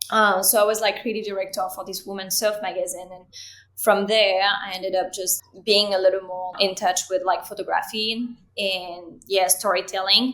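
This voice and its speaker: Speaking in a French accent, a woman keeps a medium pitch and monotone, flat intonation while her loudness swings widely. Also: moderate pace. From France. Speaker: creative director and cinematographer. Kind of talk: interview.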